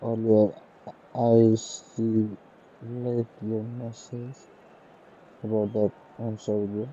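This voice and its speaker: Amid noticeable background noise, a man speaks at a very slow pace in a monotone, flat intonation with long, frequent pauses. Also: medium pitch for a man. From Nepal. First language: Nepali. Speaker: gaming streamer. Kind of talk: live stream chat. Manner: casual.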